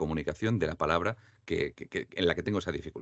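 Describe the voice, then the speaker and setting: Very wide pitch swings mark a man's speech as he goes at a fairly quick pace. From Andalusia, Spain. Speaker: voice-over artist and diction teacher. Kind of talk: interview. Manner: clear trained diction.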